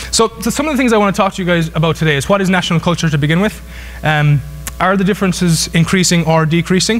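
With a southwest Irish accent, a high-pitched man speaks at a very even loudness and ordinary pitch variation while music plays in the background. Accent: Irish (southwest, Kerry). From Ireland. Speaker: business professor. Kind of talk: lecture. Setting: stage with audience. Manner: fast talker. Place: hall.

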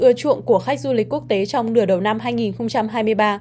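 Speaking at a fairly quick pace, a woman has a plain, everyday voice set at a fairly high pitch. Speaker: news presenter. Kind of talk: news reading. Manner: formal.

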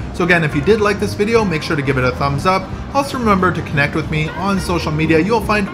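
Clear music sounds in the background. Over it, a man talks very fast. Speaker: travel vlogger. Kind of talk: tour commentary. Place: hall. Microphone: phone near.

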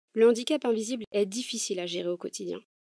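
In a dry, close sound with no echo, a woman talks at a fairly quick pace with a dark, mellow tone. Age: 20s. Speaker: podcaster. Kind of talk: personal testimony monologue.

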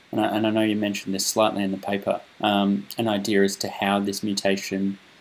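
Music plays in the background as a man with an Australian accent speaks at a moderate pace. His voice is fairly low and his intonation monotone and flat. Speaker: interviewer, research communication host. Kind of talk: interview.

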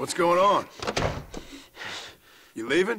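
Using a put-on character voice, a man talks at a slow pace with high pitch, lively intonation and a bright, sharp tone.

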